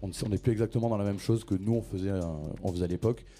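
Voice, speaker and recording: A man's fairly low, dark, mellow voice at a very fast pace, with fairly even intonation. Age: 30s. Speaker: club programmer and event organizer. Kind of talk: panel discussion.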